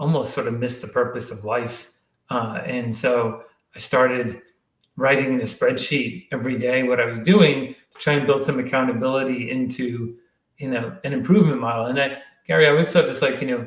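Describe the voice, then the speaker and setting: A man talks at a fairly quick pace with a medium pitch and ordinary pitch variation. He has an ordinary speaking voice, with big swings in loudness. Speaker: startup CEO and endurance athlete. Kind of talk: interview.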